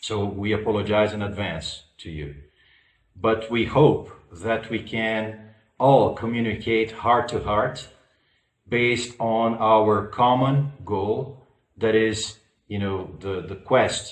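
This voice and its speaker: A man with a non-native accent speaks at a very slow pace, with big swings in loudness. Audible room echo surrounds his voice. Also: medium pitch for a man, ordinary pitch variation. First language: not English. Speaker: spiritual school lecturer. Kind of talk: public lecture. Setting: online conference. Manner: halting, many fillers.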